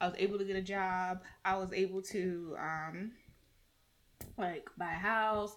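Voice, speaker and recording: With an American accent, a woman at a medium pitch speaks in a monotone, flat intonation. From US South. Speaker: podcast host. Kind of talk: casual chat.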